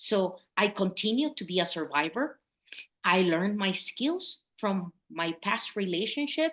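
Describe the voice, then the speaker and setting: A woman with a Mexican accent speaks at a fairly slow pace, her pitch swinging very widely against a quiet background. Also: medium pitch for a woman. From Mexico. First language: Spanish. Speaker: public health consultant. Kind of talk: interview.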